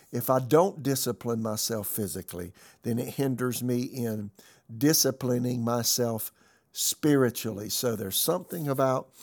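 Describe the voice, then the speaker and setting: A man speaks at a medium pitch and a moderate pace, with ordinary pitch variation. He has a normal speaking voice. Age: 60s. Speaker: pastor. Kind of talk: sermon-style podcast message.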